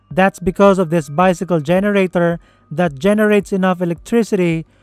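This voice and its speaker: A man speaks at a moderate pace with a high pitch. The sound is dry with no echo, and music plays in the background. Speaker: narrator. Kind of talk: documentary explainer narration.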